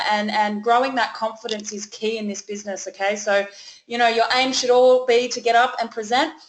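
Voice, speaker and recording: Speaking at a fairly quick pace, a woman with an Australian accent uses a fairly high pitch and fairly even intonation. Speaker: network marketing leader hosting a webinar. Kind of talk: webinar presentation. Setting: online webinar call.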